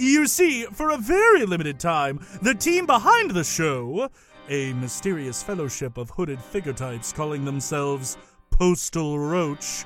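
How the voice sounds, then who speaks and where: Using a put-on character voice with a fairly high pitch, a man talks at a moderate pace over faint background music. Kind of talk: comic overacting. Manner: grandiose, condescending, mock-polite.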